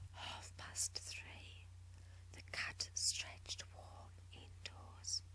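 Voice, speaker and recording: Very slow whispering against noticeable background noise. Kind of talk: poetry reading. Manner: whispered.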